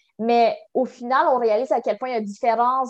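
A woman's fairly high voice with a Quebec accent, fairly slow and fairly even in intonation. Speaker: university student. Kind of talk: interview. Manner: halting.

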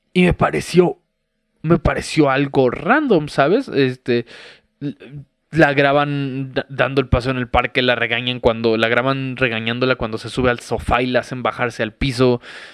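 A man with a Mexican accent speaks at a moderate pace in a medium pitch with fairly even intonation, in a dry, close sound with no echo. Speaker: podcast host. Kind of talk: casual monologue.

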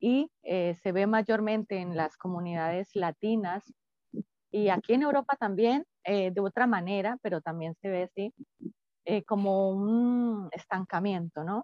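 A woman talks at a fairly slow pace in a normal speaking voice. Her pitch is medium and varies in an ordinary way. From Colombia. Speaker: psychologist. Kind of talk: interview.

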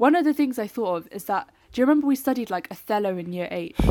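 Her pitch sits fairly high, and her intonation is lively. The woman speaks at a fairly quick pace in an unremarkable speaking voice. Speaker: literature student. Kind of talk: casual chat.

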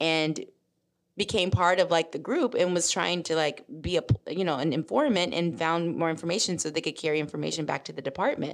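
A woman with an American accent has an ordinary speaking voice, fairly low in pitch, and talks at a fairly quick pace with ordinary pitch variation. The recording is very clean, with a silent background. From US South, Memphis, Tennessee. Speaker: civil rights attorney and policy consultant. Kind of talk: interview.

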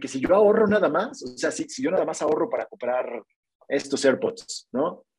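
Speaking at a moderate pace, a man uses very wide pitch swings. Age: 30s. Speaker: digital marketing freelancer. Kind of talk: casual interview. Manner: halting, many repetitions.

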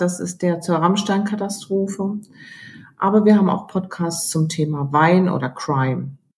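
A somewhat breathy woman speaks at a fairly slow pace with ordinary pitch variation. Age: 50s. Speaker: newspaper editor. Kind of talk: interview.

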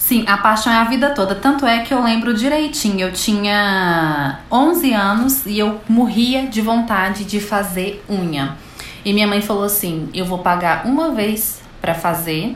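Fairly slow, medium-pitched female speech with lively intonation and hardly any pauses, with audible room echo and noticeable background noise. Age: 30s. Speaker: manicure and podcast host. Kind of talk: casual interview chat.

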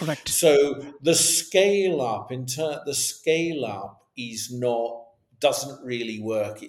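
A man with a Scottish accent speaks in a fairly high voice with lively intonation. Audible room echo surrounds him. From west coast of Scotland. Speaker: business continuity consultant. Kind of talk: interview.

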